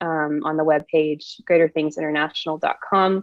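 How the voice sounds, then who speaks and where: Fairly quick, flat, monotone delivery with an Oklahoma accent. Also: woman. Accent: Oklahoma accent, noticeable. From Oklahoma, US. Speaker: prophetic ministry co-host. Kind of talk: livestream chat. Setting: video livestream.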